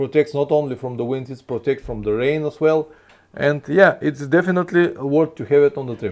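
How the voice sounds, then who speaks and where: A fairly high-pitched man with a non-native accent. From Bulgaria. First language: Bulgarian. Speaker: motorcycle travel vlogger. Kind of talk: live stream Q&A. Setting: live stream. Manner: halting.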